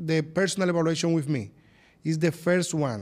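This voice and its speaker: A man with a Spanish accent speaks in a high voice. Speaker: plastic surgeon. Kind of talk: interview. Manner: halting.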